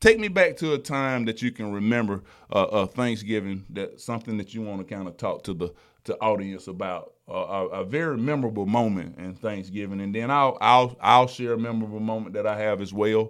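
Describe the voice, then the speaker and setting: With a Southern US accent, a man speaks at a medium pitch and a fairly quick pace, with ordinary pitch variation and big swings in loudness, on a very clean recording with a silent background. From South Alabama. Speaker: trucking company driver retention director, podcast host. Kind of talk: casual chat.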